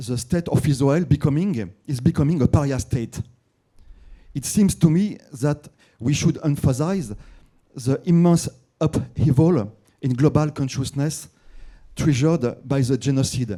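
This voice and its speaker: Speaking with a French accent, a man uses a fairly high pitch and a dark, mellow, somewhat breathy tone, with ordinary pitch variation, a fairly slow pace and long, frequent pauses. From France. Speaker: journalist asking a question from the audience. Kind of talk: audience question at a conference. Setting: conference hall with audience. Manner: halting, many fillers and repeats.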